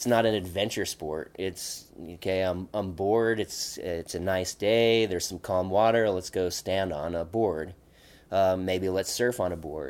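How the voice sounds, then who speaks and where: With an American accent, a man speaks at a very deep, low pitch and a fairly slow pace, keeping his intonation fairly even. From Oregon high desert. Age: 40s. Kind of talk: casual interview.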